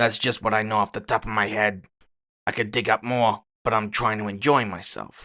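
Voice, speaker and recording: A man puts on a raspy character voice at a medium pitch. His intonation is monotone and flat. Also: moderate pace. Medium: audio drama. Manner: casual, crude.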